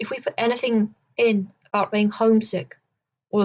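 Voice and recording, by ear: The background is quiet as the words are read aloud in a natural voice.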